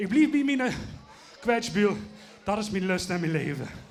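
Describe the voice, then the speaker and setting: A high-pitched man at a moderate pace, with lively intonation, audible room echo and noticeable background noise. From Limburg, Netherlands. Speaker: Tyrolean music singer. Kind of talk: interview.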